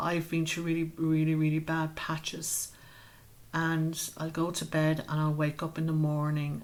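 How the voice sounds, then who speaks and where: A woman's very deep, low voice with an Irish accent, flat and monotone in intonation, at a moderate pace. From Ireland, Wexford. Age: 50s. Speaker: community group founder. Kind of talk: interview.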